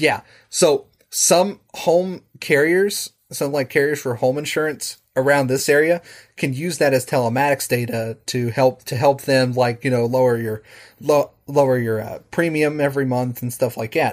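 This man speaks in a normal speaking voice with an American accent, at a moderate pace and fairly high pitch, with ordinary pitch variation in a very clean recording against a silent background. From West Virginia, Charleston. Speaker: programming teacher and home automation hobbyist. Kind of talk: casual chat.

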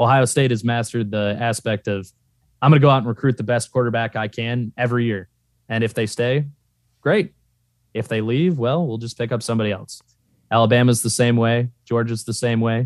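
The sound is dry and close, with no echo. The intonation stays fairly even. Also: man, medium pitch for a man, very clean recording, silent background. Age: 20s. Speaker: college football fan. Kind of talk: casual chat. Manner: formal.

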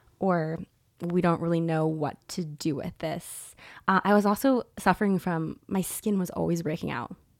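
A woman's plain, everyday voice, fairly low-pitched, at a moderate pace with ordinary pitch variation, on a very clean recording with a silent background. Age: 30s. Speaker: holistic nutritionist. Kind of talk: casual interview.

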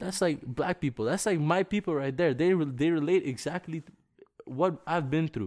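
Heard on a very clean, dry and close recording with no echo and a silent background, a man speaks in an ordinary speaking voice at a fairly high pitch and a moderate pace, with ordinary pitch variation. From village abroad, moved to Canada as early teen. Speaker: rapper. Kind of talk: casual chat. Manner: casual slangy.

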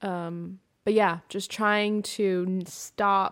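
Against a silent background on a very clean recording, a woman with an American accent speaks in an unremarkable speaking voice, medium in pitch with ordinary variation. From US Pacific Northwest. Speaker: podcast host. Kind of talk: solo monologue podcast. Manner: casual, rambling with fillers.

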